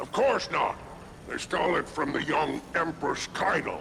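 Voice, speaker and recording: The speaker uses a put-on character voice at a moderate pace. Clear background noise can be heard. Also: man, fairly high pitch for a man. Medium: video game. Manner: silky, flattering, condescending.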